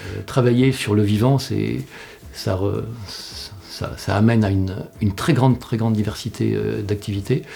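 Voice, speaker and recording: Noticeable background noise sits behind a man who talks at a fairly slow pace, his fairly low pitch showing ordinary variation. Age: 60s. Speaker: employment researcher and director. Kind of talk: interview. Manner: halting, many fillers.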